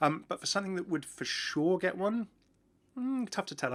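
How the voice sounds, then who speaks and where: Very fast male speech on a very clean recording, the background silent. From southern England, near London. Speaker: gaming YouTuber. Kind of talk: Q&A answering viewer questions. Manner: animated.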